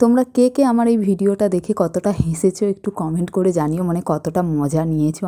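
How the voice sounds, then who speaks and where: A woman's medium-pitched voice has a dark, mellow tone. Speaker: travel vlogger. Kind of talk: vlog narration.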